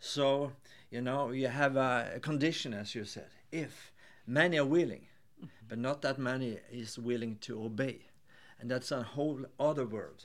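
An ordinary speaking voice at a fairly slow pace, with fairly even intonation. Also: man, medium pitch for a man. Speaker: podcast host. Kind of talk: interview.

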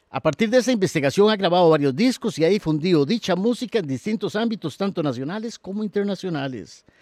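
A man speaks very fast in a high voice with lively intonation. The recording is very clean and the background silent. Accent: Costa Rican. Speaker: podcast host, university professor. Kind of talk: read-out biography; interview. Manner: halting, repeats words.

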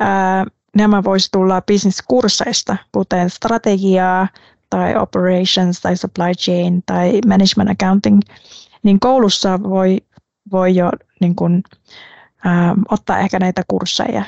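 A woman with a Vietnamese accent talks at a very slow pace in a medium pitch, her intonation monotone and flat, her loudness very even, and her speech broken by long, frequent pauses. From Vietnam, coastal city. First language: Vietnamese (speaking Finnish). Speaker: management consultant. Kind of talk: interview. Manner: hesitant, with fillers.

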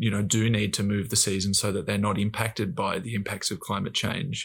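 In an Australian accent, a man with a fairly low pitch speaks at a moderate pace with fairly even intonation on a very clean recording with a silent background. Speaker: professional footballer. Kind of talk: casual chat. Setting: studio.

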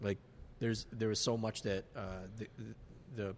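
A man is speaking. His pace is moderate. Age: 30s. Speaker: podcast co-host. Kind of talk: casual chat over drinks.

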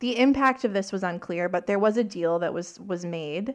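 With a Canadian prairies accent, a woman speaks at a medium pitch and a moderate pace, with ordinary pitch variation over a quiet background. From Saskatchewan, Canada. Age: 30s. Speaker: podcast host. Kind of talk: casual chat.

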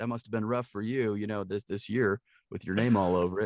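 In a very clean recording with a silent background, a man with an American accent talks at a very fast pace. His pitch is medium and his intonation fairly even. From Milwaukee, Wisconsin. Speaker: actor and voice actor. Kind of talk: casual interview chat.

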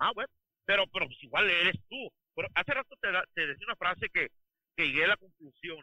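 Big swings in loudness and lively intonation mark this man's high voice as he speaks at a fairly quick pace with long, frequent pauses. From Sinaloa, Mexico. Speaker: oilfield truck driver. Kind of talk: casual chat.

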